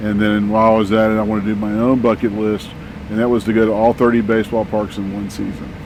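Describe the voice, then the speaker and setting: A man with an American accent speaks at a very fast pace, fairly low in pitch and in a monotone, flat intonation. Noticeable background noise is present. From Texas. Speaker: van traveler, widower. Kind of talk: casual interview. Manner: halting, many fillers.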